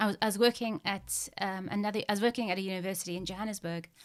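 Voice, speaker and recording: A woman talks at a very fast pace in a very clean recording with a silent background. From Zimbabwe. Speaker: activist and photographer. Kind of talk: interview. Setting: podcast. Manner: stammer, mostly managed; hesitant, many fillers.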